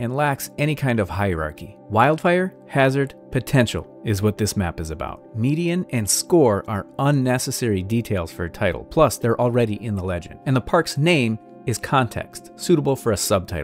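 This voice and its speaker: With faint music in the background, a man speaks at a moderate pace with hardly any pauses, the sound dry with no echo. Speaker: map design instructor. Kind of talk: tutorial.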